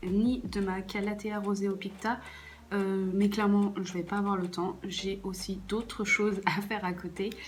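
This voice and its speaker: Audible room echo and noticeable background noise around fairly slow speech. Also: woman. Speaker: plant care YouTuber. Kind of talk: casual vlog tutorial. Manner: hesitant, many fillers.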